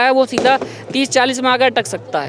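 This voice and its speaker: Noticeable background noise runs through the clip. The talking holds a moderate pace. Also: man. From India, Noida. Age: young. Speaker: YouTube actor. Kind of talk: interview.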